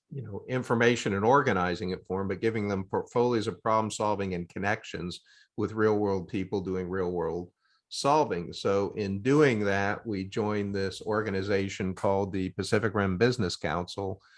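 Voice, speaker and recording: Fairly even intonation from a man with a fairly low pitch, against a quiet background. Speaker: academic and business consultant. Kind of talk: video call meeting discussion. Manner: fast.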